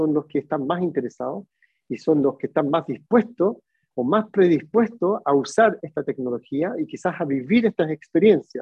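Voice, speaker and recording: This is a man with an ordinary speaking voice. He talks at a moderate pace. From Chile. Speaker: tourism innovation speaker. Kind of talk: webinar lecture.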